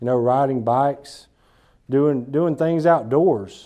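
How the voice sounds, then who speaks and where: With an Alabama accent, a man talks at a moderate pace in a dark, mellow tone with ordinary pitch variation. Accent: Alabama Southern US. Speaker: business speaker. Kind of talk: talk to a small group. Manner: casual, repetitive false starts.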